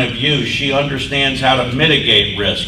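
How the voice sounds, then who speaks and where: At a moderate pace, a man talks over noticeable background noise. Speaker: state agency director. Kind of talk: speaker introduction. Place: hall.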